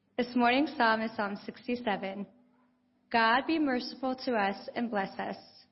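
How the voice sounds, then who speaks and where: A woman with a normal speaking voice talks at a fairly slow pace and a fairly high pitch. Her intonation is fairly even. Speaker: lay reader. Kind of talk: scripture reading and prayer. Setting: church.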